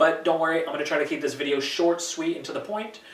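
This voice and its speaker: A man with a fairly high pitch and lively intonation talks amid noticeable background noise and audible room echo. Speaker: posture therapist. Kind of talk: tutorial. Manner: fast; casual instructive.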